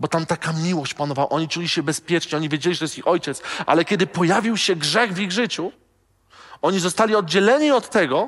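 Against a quiet background, a man talks at a very fast pace. His pitch is high. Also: ordinary pitch variation. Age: 30s. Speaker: pastor. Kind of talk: sermon.

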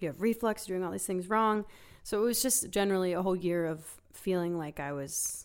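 In a very clean recording with a silent background, a woman with an American accent talks at a fairly quick pace in an unremarkable speaking voice, her pitch fairly low with ordinary variation. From Philadelphia. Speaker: singer-songwriter. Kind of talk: casual chat. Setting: studio.

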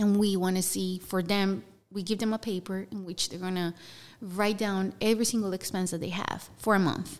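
In a Spanish accent, a woman speaks at medium pitch. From Colombia (Bogota). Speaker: nonprofit housing program staff. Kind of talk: interview. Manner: halting.

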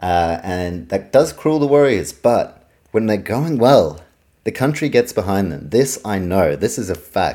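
Delivered at a fairly slow pace with a New Zealand accent, this dark, mellow voice moves through very wide pitch swings on a very clean recording with a silent background. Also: man, fairly low pitch for a man. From New Zealand, Auckland. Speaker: sports podcaster. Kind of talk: solo sports podcast monologue. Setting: home recording, fan turned off.

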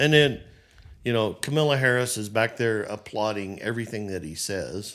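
At a moderate pace, a man with a plain, everyday voice talks in a medium pitch with ordinary pitch variation. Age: 60s. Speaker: business owner. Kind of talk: casual chat.

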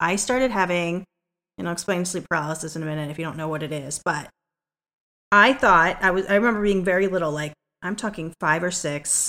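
Fairly quick speech from a woman with a fairly low pitch and a bright, sharp tone. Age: 40s. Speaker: podcast co-host. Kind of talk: casual chat.

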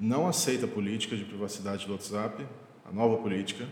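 A man is speaking. The clip has noticeable background noise and audible room echo. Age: 20s. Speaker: podcast host, software architect. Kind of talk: solo podcast monologue.

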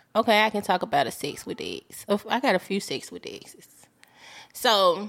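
With lively intonation, a woman speaks in an ordinary speaking voice at a fairly high pitch and a moderate pace. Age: 40s. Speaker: podcast guest. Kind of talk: casual chat.

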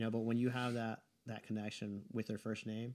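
A man talks at a fairly quick pace and a medium pitch. His intonation is flat and monotone. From Riverside, California. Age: 40s. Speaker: barbershop owner, Navy veteran. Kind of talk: casual interview.

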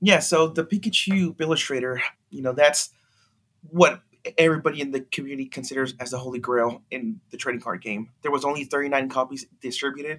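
An unremarkable speaking voice from a man, fairly high in pitch, at a fairly quick pace, with ordinary pitch variation and big swings in loudness. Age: 30s. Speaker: auction house trading card specialist. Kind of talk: casual interview.

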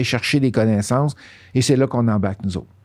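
The speaker talks with a Quebec accent. Pitch varies in an ordinary way. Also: man. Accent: Québécois French. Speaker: real estate coach. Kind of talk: podcast interview.

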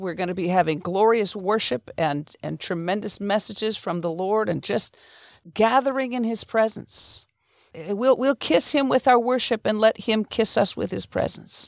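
An unremarkable speaking voice from a woman, fairly high in pitch, with lively intonation at a moderate pace, dry and close with no echo. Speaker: podcast host. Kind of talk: interview.

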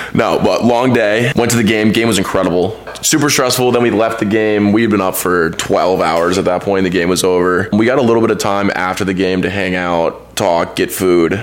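A man with a Texan accent talks at a fairly quick pace with hardly any pauses, very even loudness and ordinary pitch variation, over noticeable background noise. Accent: Texan American. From Texas, Dallas. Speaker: graduate student, former college athlete. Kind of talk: casual chat. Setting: family home.

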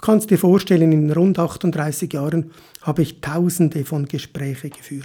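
A man in an ordinary speaking voice, fairly high in pitch, with fairly even intonation, a fairly slow pace and big swings in loudness. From Switzerland. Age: 50s. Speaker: motivational podcaster. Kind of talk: motivational monologue.

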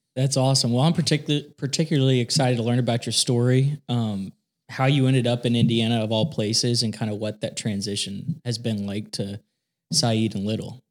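In a very clean recording with a silent background, a man with an unremarkable speaking voice talks at a fairly quick pace at a medium pitch with ordinary pitch variation. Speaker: podcast co-host. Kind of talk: interview.

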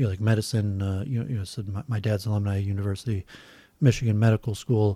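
The man has a dark, mellow tone, a fairly low pitch, fairly even intonation and a somewhat breathy voice with an American accent, captured on a very clean recording with a silent background. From US Midwest, Metro Detroit suburbs. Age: 40s. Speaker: civil engineer and YouTuber. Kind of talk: casual chat. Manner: halting, many fillers.

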